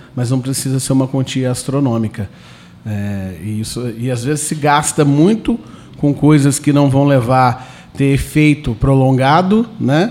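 A man with a medium pitch speaks at a fairly slow pace, with ordinary pitch variation and noticeable background noise. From Brazil, southern Minas Gerais (Itajubá). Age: 30s. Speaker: theatre actor and producer. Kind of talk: radio interview.

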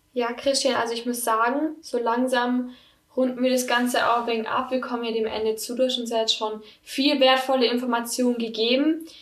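Her voice high-pitched, a woman speaks at a moderate pace with monotone, flat intonation, and room echo is audible. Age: 20s. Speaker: podcast host. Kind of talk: interview.

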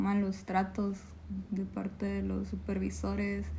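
A woman speaks at a very slow pace with audible room echo. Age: 20s. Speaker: call center worker. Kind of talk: interview.

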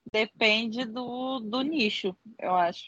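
Ordinary pitch variation marks this very slow delivery. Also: woman. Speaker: podcast co-host. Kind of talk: casual chat.

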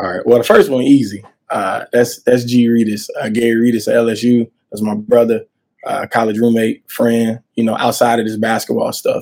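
Speaking at a moderate pace with an American accent, a man uses a medium pitch and a dark, mellow tone in a flat monotone. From Montgomery, Alabama (US South). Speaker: college basketball coach. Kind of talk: interview.

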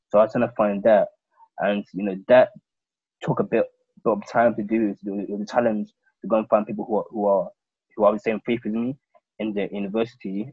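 The speech comes at a very fast pace, broken by long, frequent pauses. The intonation stays monotone and flat. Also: man, fairly low pitch for a man. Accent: London. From London. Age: 20s. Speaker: podcast host. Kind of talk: casual chat.

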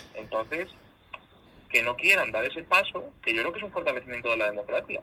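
A man speaks at a fairly quick pace. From Spain, Zamora (Castile and León). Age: 20s. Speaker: regional politician. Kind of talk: interview.

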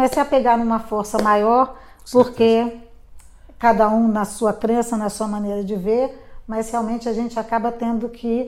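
Fairly high-pitched female speech, flat and monotone. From Brasília, Brazil. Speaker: restaurant owner. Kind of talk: interview.

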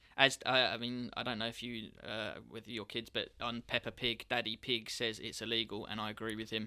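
At a moderate pace, the speaker talks in a southeast English accent with monotone, flat intonation. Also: man, medium pitch for a man. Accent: south-east English. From England, Kent. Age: 30s. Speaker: professional trader, business owner. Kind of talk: elevator pitch; casual interview chat. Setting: studio.

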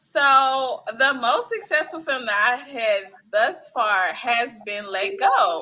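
Projecting a raised voice, a woman talks very slowly with hardly any pauses, her pitch high, her tone bright and sharp, and her intonation lively. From US Midwest, Chicago South Side (Englewood). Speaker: filmmaker and producer. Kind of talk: casual interview.

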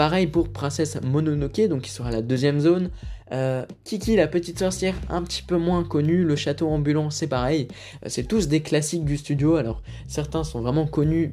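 The tone is dark and mellow, and the pitch moves up and down in an ordinary way. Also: man. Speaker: film podcast host. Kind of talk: casual solo podcast commentary. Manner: hesitant, many fillers.

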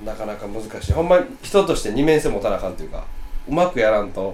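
Against noticeable background noise, a man talks at a very fast pace in a Kansai accent. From Osaka. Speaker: podcast co-host. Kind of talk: casual chat.

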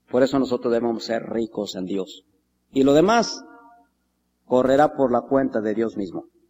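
A man's medium-pitched voice, dark and mellow, in a solemn, warm tone, with ordinary pitch variation and long, frequent pauses. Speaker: preacher. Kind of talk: sermon. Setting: church. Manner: earnest, solemn pastoral delivery, unhurried and reverent; rising, warm exhortation building to a closing benediction.

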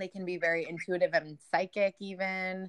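A woman with an American accent, fairly low in pitch with a bright, sharp tone, at a moderate pace, in a dry, close sound with no echo and a quiet background. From Rochester, New York. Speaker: podcast host. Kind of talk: casual chat. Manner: giggly.

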